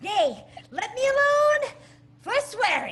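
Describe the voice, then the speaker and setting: A woman uses a put-on character voice, squeaky and extremely high-pitched, at a fairly slow pace with lively intonation. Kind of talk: Shakespearean comic acting. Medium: stage play. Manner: hesitant, bumbling.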